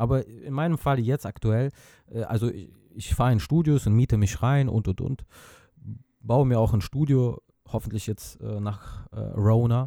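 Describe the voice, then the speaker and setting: In a very clean recording with a silent background and a dry, close sound with no echo, a man speaks at medium pitch with a dark, mellow tone, ordinary pitch variation, a fairly slow pace and long, frequent pauses. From Azerbaijan. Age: 30s. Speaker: music producer. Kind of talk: casual chat. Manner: halting, many fillers.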